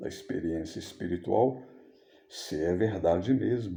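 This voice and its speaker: Audible room echo surrounds a man speaking at a fairly slow pace. His dark, mellow tone is somewhat breathy, and his intonation is lively. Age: 60s. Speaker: missionary preacher. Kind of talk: sermon. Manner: informal, conversational.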